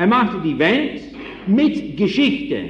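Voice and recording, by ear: The voice moves at a slow pace with big pitch swings and a fairly bright tone, with audible room echo. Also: man, high pitch for a man.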